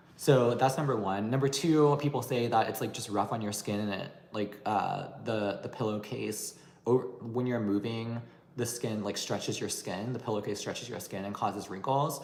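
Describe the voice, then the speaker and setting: Audible room echo surrounds a man speaking at medium pitch. He keeps a moderate pace and fairly even intonation. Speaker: beauty and anti-aging YouTuber. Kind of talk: livestream Q&A chat. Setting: livestream.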